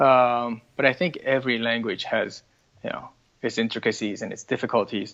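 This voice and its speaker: With an American accent, a man talks at a moderate pace in a medium pitch. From multilingual upbringing: Hong Kong, Taiwan, Quebec. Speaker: parent and multilingual interviewee. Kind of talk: interview. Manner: hesitant, many fillers and repeated words.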